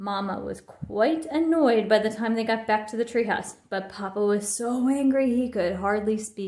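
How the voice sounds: A natural reading voice carries the recording.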